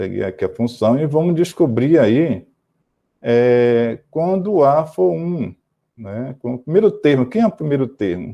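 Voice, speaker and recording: At a fairly slow pace, a man speaks with very wide swings in pitch. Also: medium pitch for a man. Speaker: math teacher. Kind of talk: lecture. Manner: halting.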